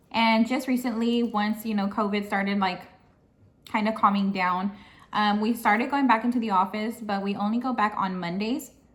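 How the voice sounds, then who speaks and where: With fairly even intonation, a woman talks at a moderate pace in a somewhat breathy, fairly high voice. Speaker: vlogger and administrative assistant. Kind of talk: casual vlog chat.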